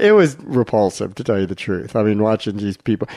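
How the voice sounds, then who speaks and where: A man's unremarkable speaking voice, fairly low in pitch and fairly quick in pace, against a quiet background. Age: 60s. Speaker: physician and radio health show co-host. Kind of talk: casual chat. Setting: radio studio.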